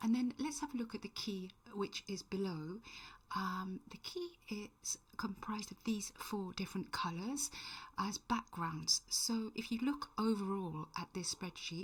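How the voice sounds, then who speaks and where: Her voice somewhat breathy and medium in pitch, a woman speaks at a fairly slow pace with lively intonation. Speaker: tutorial maker. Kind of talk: tutorial. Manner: hesitant, many fillers.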